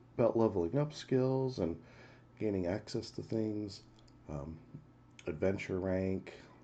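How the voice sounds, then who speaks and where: Soft-spoken and dark, mellow in tone, a man talks at a fairly low pitch and fairly slow pace with long, frequent pauses. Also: ordinary pitch variation. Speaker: game streamer. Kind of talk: live game stream commentary.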